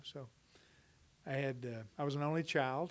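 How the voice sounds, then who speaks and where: Speaking in a Texan accent, a man has a medium pitch. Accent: Texan American. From Dallas, Texas. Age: 60s. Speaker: interviewee. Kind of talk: interview. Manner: hesitant, with many fillers.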